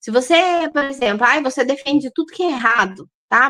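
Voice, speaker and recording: This woman's voice has a bright, sharp tone and lively intonation. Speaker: holistic nutritionist. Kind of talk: online lecture. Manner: halting.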